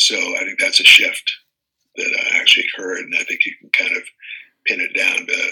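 A man with an American accent uses a raised, projected voice at an extremely high pitch. He keeps a moderate pace with monotone, flat intonation. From US East Coast. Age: 70s. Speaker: congressional candidate and city council member. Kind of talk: interview.

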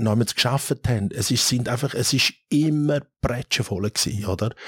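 A man talks in a normal speaking voice at a moderate pace with ordinary pitch variation. The sound is dry and close, with no echo. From Switzerland, Thurgau and Zurich area. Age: 50s. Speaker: restaurateur and app founder. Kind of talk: casual interview.

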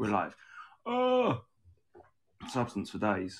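A man speaks with a southern English accent. His intonation is monotone and flat. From southeast England. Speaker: podcast host. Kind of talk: casual chat, live stream. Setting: live video stream. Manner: jokey, puts on impressions.

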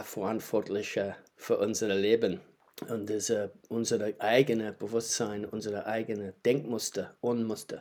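A man with a New Zealand accent at a medium pitch and fairly slow pace, on a very clean recording with a silent background. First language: English (speaking German). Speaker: qigong teacher. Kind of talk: casual chat. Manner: halting.

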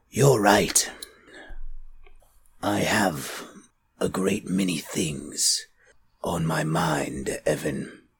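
A man puts on a raspy character voice of very deep, low pitch, with lively intonation. He speaks at a very slow pace with long, frequent pauses. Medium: actual play. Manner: formal, elevated diction.

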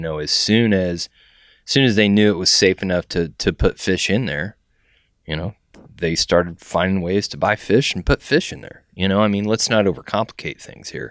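A man with an American accent has a normal speaking voice, fairly low in pitch, and talks at a moderate pace with big swings in loudness. The recording is very clean with a silent background and a dry, close sound with no echo. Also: ordinary pitch variation. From Texas, San Antonio. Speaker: fishing guide. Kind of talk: casual chat. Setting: fly shop.

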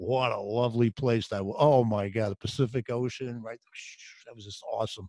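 An animated, enthusiastic man talks at a fairly quick pace in a medium pitch. His sound is dry and close, with no echo. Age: 60s. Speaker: podcast host memory coach. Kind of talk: casual interview chat.

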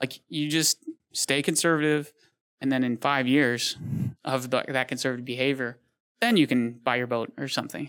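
A man's plain, everyday voice with an American accent, medium pitch, moderate pace and fairly even intonation. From Michigan, Detroit. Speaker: business owner. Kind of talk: interview.

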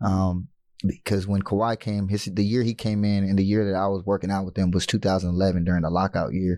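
With an American accent, a man rattles along at a very fast pace in a fairly low, dark, mellow, flat monotone. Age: 30s. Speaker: former pro basketball player and youth coach. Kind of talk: interview.

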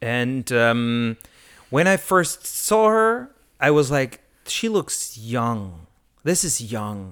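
On a very clean recording with a silent background, a man speaks at a very slow pace with a medium pitch and lively intonation. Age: 30s. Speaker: comedian. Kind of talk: casual chat.

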